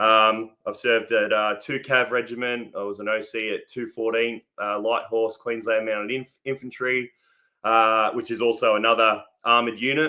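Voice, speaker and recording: A man talks with an Australian accent at a medium pitch. His intonation is monotone and flat. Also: moderate pace. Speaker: army veteran. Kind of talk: casual interview.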